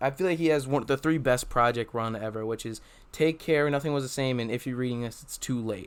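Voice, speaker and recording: This man has an unremarkable speaking voice, pitched fairly high for a man, with ordinary pitch variation. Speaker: podcast host. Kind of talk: casual podcast conversation.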